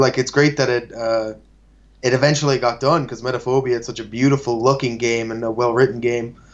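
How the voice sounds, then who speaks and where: Speaking in an Irish accent, a man of medium pitch keeps a flat monotone at a moderate pace. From Ireland. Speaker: game graphic artist. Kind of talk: casual chat.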